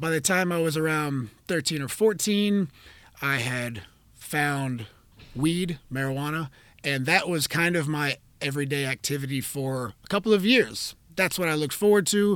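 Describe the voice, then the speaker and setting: A man with an unremarkable speaking voice at a fairly high pitch, in a very clean recording with a silent background. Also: moderate pace. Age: 30s. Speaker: jiu-jitsu instructor and podcast host. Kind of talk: solo podcast monologue. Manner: casual with frequent fillers.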